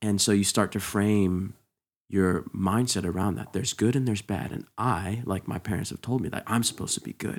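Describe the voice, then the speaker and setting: A man speaks in a normal speaking voice, fairly low in pitch, with fairly even intonation. His pace is fairly quick, and the recording is very clean with a silent background. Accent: American. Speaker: worship and production leader at church. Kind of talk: casual conversational interview.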